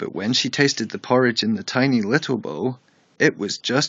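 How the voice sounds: The speaker uses a natural reading voice.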